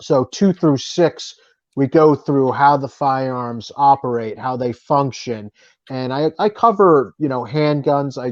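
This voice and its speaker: Speaking at a fairly slow pace with a strong Boston accent, a man uses medium pitch and ordinary pitch variation, his sound dry and close with no echo. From New Jersey. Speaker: author and firearms writer. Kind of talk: interview.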